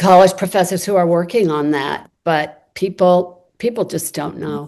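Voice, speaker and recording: A woman speaks at a fairly slow pace with an American accent. Her intonation is fairly even, and the background is quiet. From United States. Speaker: activist and writer, panelist. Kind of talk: panel discussion answer.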